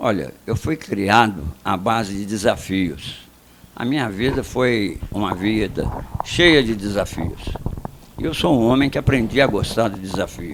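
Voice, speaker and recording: Fairly low in pitch, a man speaks at a fairly slow pace with lively intonation amid noticeable background noise. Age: 80s+. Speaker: retired general, mayoral candidate. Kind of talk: radio interview.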